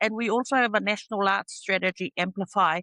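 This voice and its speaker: Over a quiet background, a woman with a bright, sharp tone and a medium pitch talks at a fairly quick pace with fairly even intonation, the sound dry and close with no echo.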